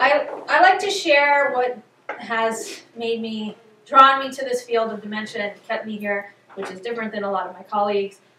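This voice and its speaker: Speaking at a moderate pace, a woman with an American accent uses a fairly high pitch and lively intonation. Her loudness swings a lot, and noticeable background noise is present. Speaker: neurologist and psychiatrist giving a talk. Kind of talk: public talk. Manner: many fillers, halting.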